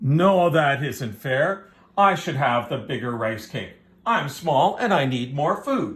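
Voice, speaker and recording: In a growling, put-on character voice, a man speaks fairly slowly at a fairly high pitch. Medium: read story.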